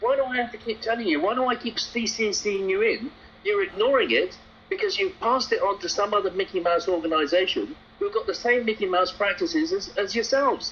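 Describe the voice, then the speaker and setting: The speech comes at a fairly quick pace. Noticeable background noise runs underneath. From London, England. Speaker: taxi trade campaigner. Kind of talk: heated complaint phone call. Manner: confrontational.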